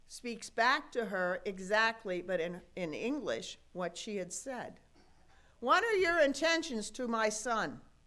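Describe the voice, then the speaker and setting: Very slowly, a woman speaks in a fairly high pitch with a bright, sharp tone and very wide pitch swings. Audible room echo surrounds her voice. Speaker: pastor. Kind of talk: sermon. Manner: conversational, folksy.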